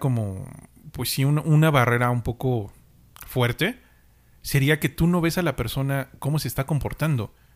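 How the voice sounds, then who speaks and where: A man speaks in a plain, everyday voice with ordinary pitch variation, keeping a moderate pace. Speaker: podcast co-host. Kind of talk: casual chat.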